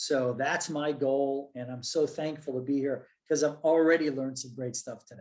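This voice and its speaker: A man talks in a normal speaking voice at a moderate pace. His intonation stays fairly even while his loudness swings widely. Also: fairly high pitch for a man, hardly any pauses. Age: 60s. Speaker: professor. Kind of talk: panel discussion.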